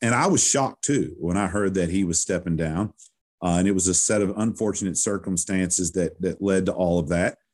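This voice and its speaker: With a rural Kentucky accent, a man talks at a fairly quick pace in a fairly low pitch against a quiet background. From western Kentucky, Owensboro. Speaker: sports PA announcer. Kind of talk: casual interview.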